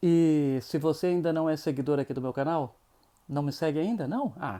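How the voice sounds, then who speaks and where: Dark and mellow in tone, a man speaks at a fairly high pitch with ordinary pitch variation. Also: moderate pace. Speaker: YouTuber. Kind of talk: casual interview intro.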